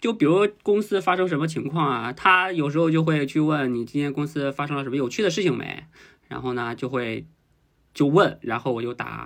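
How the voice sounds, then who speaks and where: Against a quiet background, a man with a fairly high pitch speaks very fast with ordinary pitch variation. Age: 20s. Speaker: guest sharing a man's view on dating. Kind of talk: casual chat.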